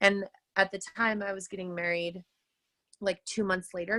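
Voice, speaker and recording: At a fairly quick pace, a woman with a medium pitch speaks in a dry, close recording with no echo. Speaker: teacher and fitness coach. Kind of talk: personal testimony on a team call. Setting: group call. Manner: loud; casual, filler-heavy.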